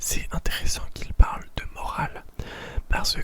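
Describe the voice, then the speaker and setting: A woman whispering at a very slow pace over noticeable background noise. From Paris, France. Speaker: ASMR content creator. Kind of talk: whispered ASMR reading of a philosophy text with commentary. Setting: home, window open with possible background noise. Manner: whispered, slow, soft.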